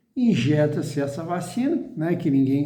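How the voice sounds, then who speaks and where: In a room with audible echo, a man with a dark, mellow tone speaks with lively intonation. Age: 60s. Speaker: chemist giving commentary. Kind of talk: explanatory video talk. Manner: halting.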